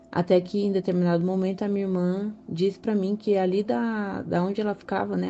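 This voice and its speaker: Using a plain, everyday voice, a woman speaks at a fairly quick pace and a medium pitch with fairly even intonation. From São Paulo, Brazil. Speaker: listener sharing a story. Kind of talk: recorded personal story.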